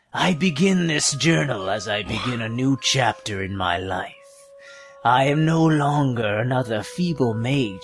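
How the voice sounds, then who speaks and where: A man uses a put-on character voice at a medium pitch. He keeps a moderate pace while faint music plays in the background. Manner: sinister.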